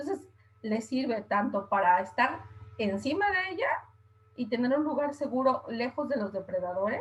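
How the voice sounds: A woman speaks at a moderate pace in a fairly high voice with a slightly husky edge and lively intonation.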